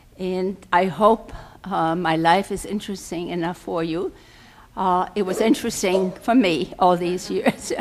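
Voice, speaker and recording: A woman with a German accent, medium-pitched, speaking at a fairly slow pace with ordinary pitch variation. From Germany (Berlin). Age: 80s+. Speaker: guest speaker. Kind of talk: personal life talk. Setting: podium before live audience. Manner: halting, many fillers.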